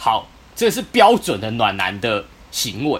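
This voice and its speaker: A man is speaking. His voice is somewhat breathy. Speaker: podcast co-host. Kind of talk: casual chat.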